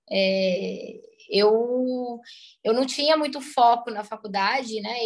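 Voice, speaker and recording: Her voice sits high in pitch for a woman. This woman's pitch moves in an ordinary way. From southern Minas Gerais, Brazil. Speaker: food entrepreneur. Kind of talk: interview. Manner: halting.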